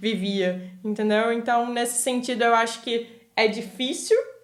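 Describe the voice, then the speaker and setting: A woman speaks in a Rio de Janeiro accent. Her pitch is high and her pace moderate. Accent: Rio de Janeiro Brazilian Portuguese. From Brazil, Rio de Janeiro. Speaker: podcast guest, immigrant. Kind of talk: casual chat.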